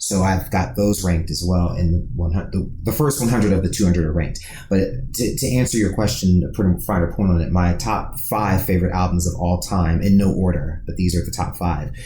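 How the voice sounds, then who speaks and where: With an American accent and a very deep, low pitch, a man talks at a fairly quick pace with hardly any pauses and ordinary pitch variation, over audible room echo and noticeable background noise. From US Midwest, Dayton Ohio. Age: 30s. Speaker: podcast co-host, music writer. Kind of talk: casual podcast interview.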